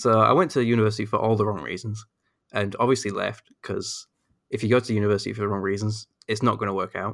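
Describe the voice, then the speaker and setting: A man's fairly low voice at a very fast pace, fairly even in intonation, on a very clean recording with a silent background. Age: 20s. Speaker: freelance graphic designer, fan community member. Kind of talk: casual chat. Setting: podcast interview.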